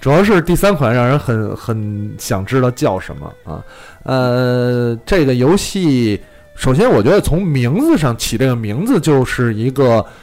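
Music can be heard in the background. Over it, a man's intonation is lively. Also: medium pitch for a man. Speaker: podcast host. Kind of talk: casual chat. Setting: live-streamed studio recording. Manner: fast talker, animated.

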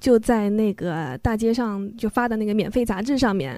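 At a moderate pace, a woman speaks with a fairly high pitch and a dark, mellow tone on a very clean recording with a silent background. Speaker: former overseas student, children's book editor. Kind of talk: interview. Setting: studio.

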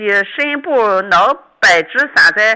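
A woman's raised, projected voice, bright and sharp in tone, moves through very wide pitch swings. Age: 60s. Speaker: radio call-in listener. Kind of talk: phone-in health consultation.

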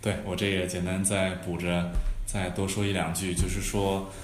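A man with a very deep, low voice is heard with audible room echo and noticeable background noise. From Hunan, China. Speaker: startup founder and CEO. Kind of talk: podcast interview.

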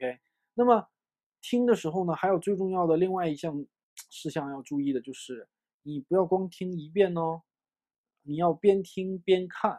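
A man with a high pitch speaks in an animated tone at a moderate pace, with ordinary pitch variation. Long, frequent pauses break up his speech, and the sound is dry and close with no echo. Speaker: English teacher. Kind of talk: lecture.

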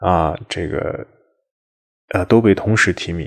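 A man with fairly low pitch and fairly even intonation. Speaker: Buddhist monastic and podcast host. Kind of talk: memorial monologue. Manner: low, subdued tone.

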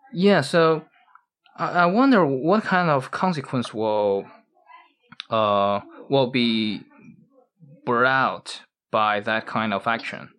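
Speaking at a very slow pace with long, frequent pauses, a man with a medium pitch and a Chinese accent makes very wide pitch swings. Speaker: podcast host. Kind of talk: casual chat. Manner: halting.

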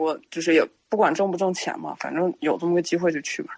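A woman speaks at a fairly quick pace. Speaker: guest storyteller sharing supernatural experiences. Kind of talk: casual storytelling on a live-streamed podcast. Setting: live stream.

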